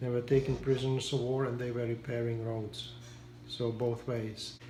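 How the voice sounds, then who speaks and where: The speech moves at a moderate pace with a monotone, flat intonation. Room echo is audible. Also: man. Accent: Czech. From Czechoslovakia (Prague). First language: Czech. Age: 70s. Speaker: war survivor interviewee. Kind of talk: interview. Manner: halting.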